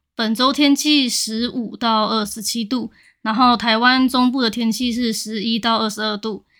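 Recorded very cleanly against a silent background, a woman talks at a moderate pace with a bright, sharp tone and fairly even intonation. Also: fairly high pitch for a woman. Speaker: podcast co-host. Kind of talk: casual chat.

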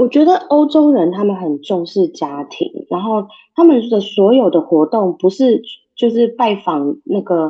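A woman's fairly high voice at a fairly slow pace, with very wide pitch swings. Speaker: tour guide and author. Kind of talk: interview.

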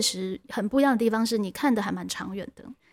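A woman with a plain, everyday voice, fairly high in pitch with ordinary pitch variation, is heard on a very clean recording with a silent background. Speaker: teacher and podcast host. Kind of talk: interview; scripted narration. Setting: classroom.

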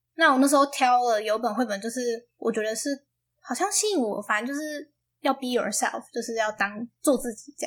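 In a very clean recording with a silent background, a woman speaks at a high pitch with big swings in loudness. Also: ordinary pitch variation, moderate pace. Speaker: university student, aspiring English teacher. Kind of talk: casual interview.

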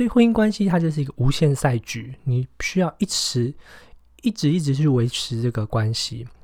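On a very clean recording with a silent background, a man speaks at a moderate pace in a medium-pitched, somewhat breathy voice with a dark, mellow tone and lively intonation. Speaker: podcast host and entrepreneur. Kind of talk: book review monologue. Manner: casual with many fillers.

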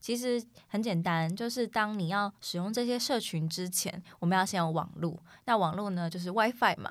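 A woman at medium pitch and moderate pace on a very clean recording with a silent background. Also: ordinary pitch variation. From United States (childhood). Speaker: college student podcast host. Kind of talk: casual chat.

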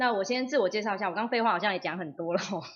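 A woman speaks at a medium pitch with ordinary pitch variation in a plain, everyday voice. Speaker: labour law instructor, former legal officer. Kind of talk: livestream talk.

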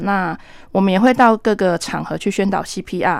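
Recorded very cleanly against a silent background, a woman with a Taiwanese accent speaks at a medium pitch and a moderate pace. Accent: Taiwanese Mandarin. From Taiwan, Taitung. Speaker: nurse and volunteer firefighter paramedic. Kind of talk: radio interview.

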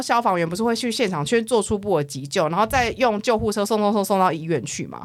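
A woman talks at a fairly quick pace. The recording is very clean, its background silent. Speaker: podcast host. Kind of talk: casual chat.

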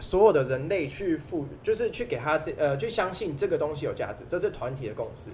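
This man's fairly high voice moves at a moderate pace and swings very widely in pitch. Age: 20s. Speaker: diamond dealer. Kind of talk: casual chat. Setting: mahjong room venue.

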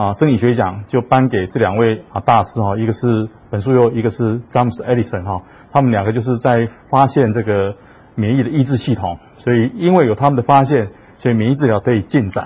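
This man's voice is somewhat breathy. He speaks at a fairly quick pace. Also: medium pitch for a man, ordinary pitch variation. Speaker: physician, hospital vice superintendent. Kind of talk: lecture. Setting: talk with live audience and livestream. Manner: many hesitation fillers.

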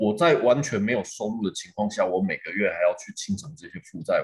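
A man is speaking. His pace is moderate. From Taiwan, Changhua countryside. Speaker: tattoo artist. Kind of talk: interview.

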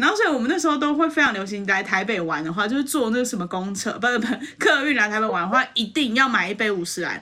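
A woman's fairly high voice with a Taiwanese accent, very fast and hardly pausing, lively in intonation, over noticeable background noise. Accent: Taiwanese Mandarin. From Taiwan, Yilan. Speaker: podcast co-host. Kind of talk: casual chat.

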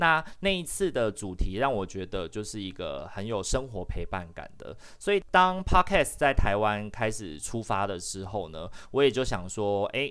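Man at a fairly low pitch, moderate pace and ordinary pitch variation. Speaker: social worker and podcast host. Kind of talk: casual chat. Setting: online live session.

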